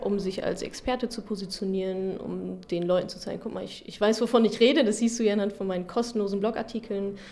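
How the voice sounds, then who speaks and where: Against noticeable background noise, a woman with a medium pitch talks at a moderate pace with fairly even intonation. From Ruhr area, Germany. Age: 30s. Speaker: finance blogger. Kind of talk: interview.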